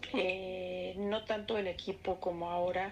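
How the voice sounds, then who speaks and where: A woman speaks at medium pitch in a central Mexican accent. Her intonation is monotone and flat. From Mexico City. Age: 60s. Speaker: interviewee recalling 1968. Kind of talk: oral history interview.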